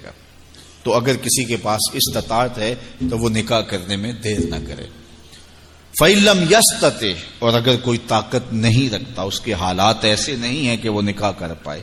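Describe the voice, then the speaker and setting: A man's voice at medium pitch. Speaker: Islamic scholar giving a sermon. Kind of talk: religious sermon / lecture. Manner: soft-spoken.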